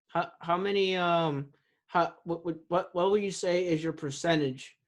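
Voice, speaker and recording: A man with an American accent in a normal speaking voice, fairly even in intonation and moderate in pace, over a quiet background. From New York, Brooklyn. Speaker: IT support youtuber. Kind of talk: casual interview chat.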